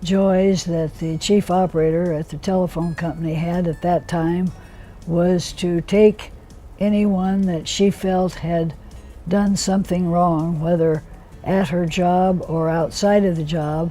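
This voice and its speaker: Music plays in the background while a woman talks at a fairly slow pace. Her voice is fairly low in pitch, with monotone, flat intonation. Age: 80s+. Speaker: union organizer and women's rights activist. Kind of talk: interview answer.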